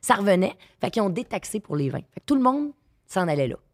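In a Quebec accent, a woman talks in an animated tone with very wide pitch swings. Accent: Québécois French. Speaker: sommelier. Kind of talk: casual chat.

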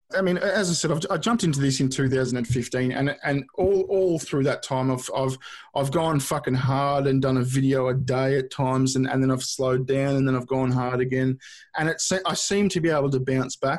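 This voice, with an Australian accent, holds a very even loudness. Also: man, medium pitch for a man, ordinary pitch variation, moderate pace. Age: 30s. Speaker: YouTuber. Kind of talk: casual chat. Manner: halting, many repeated words.

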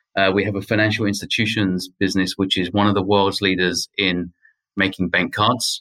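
Speaking with a British accent, a man uses a bright, sharp tone at a fairly low pitch, with monotone, flat intonation, a moderate pace and a dry, close sound with no echo. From UK. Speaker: technology executive. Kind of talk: interview. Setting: remote call from Paris.

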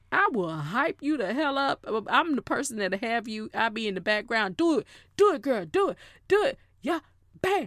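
An animated tone at a moderate pace, with very wide pitch swings and a dry, close sound with no echo. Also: woman, high pitch for a woman. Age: 40s. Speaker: podcast host. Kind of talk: casual monologue. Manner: loud.

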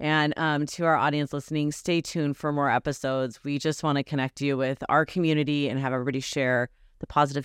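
Against a quiet background, the words come at a fairly quick pace. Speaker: podcast host. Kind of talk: casual interview chat. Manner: fast talker.

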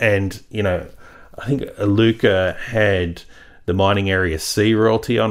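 The recording is very clean, with a silent background. A man speaks in a fairly low pitch. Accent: Australian. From rural Australia. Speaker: stock market analyst. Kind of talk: interview.

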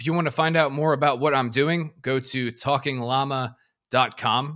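A man's bright, sharp tone with an American accent. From US. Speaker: army officer and podcaster. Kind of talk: casual interview. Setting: remote call.

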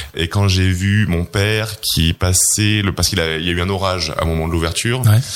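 A man's very deep, low voice at a fairly quick pace, with hardly any pauses, fairly even intonation and noticeable background noise. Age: 30s. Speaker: entrepreneur. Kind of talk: interview. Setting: office.

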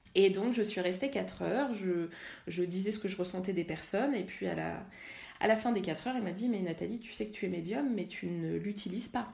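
A woman's dark, mellow voice at a medium pitch and fairly quick pace, with vocal fry, ordinary pitch variation and audible room echo. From Paris suburbs, France. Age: 30s. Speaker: energy healer and workshop leader. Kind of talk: interview. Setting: home kitchen. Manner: animated.

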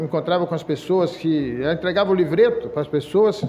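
Over noticeable background noise and audible room echo, a man talks at a fairly quick pace in a high pitch with lively intonation. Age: 60s. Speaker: lay preacher. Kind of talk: sermon. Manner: halting.

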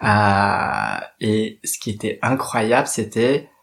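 A man with an unremarkable speaking voice, medium in pitch, with fairly even intonation. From Paris, France. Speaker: drag queen and activist. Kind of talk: personal testimony monologue.

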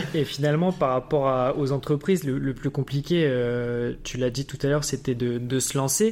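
At a moderate pace, a man speaks in a normal speaking voice of fairly high pitch. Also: ordinary pitch variation, very clean recording, silent background. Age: 20s. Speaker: podcast host. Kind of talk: interview.

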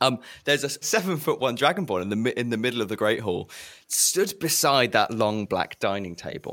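The voice heard here is a natural reading voice. Text is being read.

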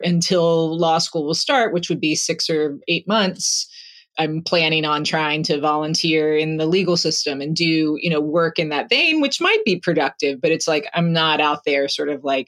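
A woman speaks fairly slowly in a very deep, low pitch, her intonation fairly even and her loudness very even. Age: 40s. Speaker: coaching client. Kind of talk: coaching session conversation. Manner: reflective, hesitant.

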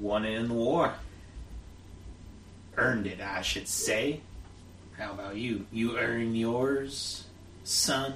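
Booming and menacing in tone, a man of medium pitch performs a put-on character voice at a very slow pace over clear background noise. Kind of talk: western actual-play character voice. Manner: menacing, sneering, drawling.

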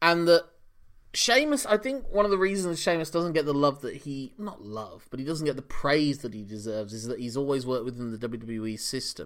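This man has an ordinary speaking voice with fairly high pitch and lively intonation. His loudness swings widely. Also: fairly quick pace. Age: 40s. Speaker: wrestling podcast co-host. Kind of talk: casual chat.

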